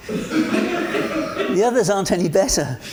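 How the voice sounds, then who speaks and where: Over noticeable background noise and audible room echo, a man talks in a high pitch with very wide pitch swings. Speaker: monologue performer with Parkinson's. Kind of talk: spoken word monologue.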